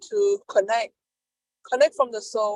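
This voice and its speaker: In a dry, close sound with no echo, a woman with a non-native accent talks at a moderate pace. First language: not English. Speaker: peer advocate. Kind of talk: panel discussion. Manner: halting.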